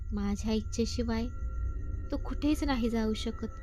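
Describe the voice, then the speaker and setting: A put-on character voice, hoarse and raspy with a fairly high pitch, moves at a very slow pace over clear background noise. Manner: menacing.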